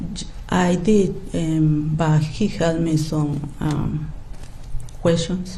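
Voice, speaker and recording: A woman with a Spanish accent and very deep, low pitch, at a very slow pace with ordinary pitch variation, amid noticeable background noise and audible room echo. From Mexico. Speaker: prospective juror. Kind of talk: jury selection questioning. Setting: courtroom. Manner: halting.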